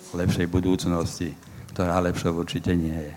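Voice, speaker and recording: Speaking at a moderate pace, a man delivers his lines with monotone, flat intonation. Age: 60s. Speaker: activist exposing extremists. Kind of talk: panel discussion.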